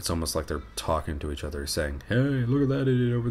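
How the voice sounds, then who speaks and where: Audible room echo surrounds a man who talks very fast with lively intonation. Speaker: vlogger, law student. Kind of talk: casual vlog narration.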